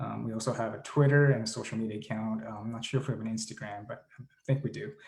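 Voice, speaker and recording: Somewhat breathy, this man's voice moves at a fairly quick pace. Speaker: climate advocacy group leader. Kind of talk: presentation. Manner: fast.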